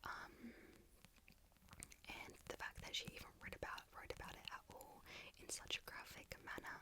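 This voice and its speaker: Whispering at a moderate pace with long, frequent pauses, over noticeable background noise. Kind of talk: ASMR whisper ramble about favourite books. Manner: whispered, soft-spoken, rambling.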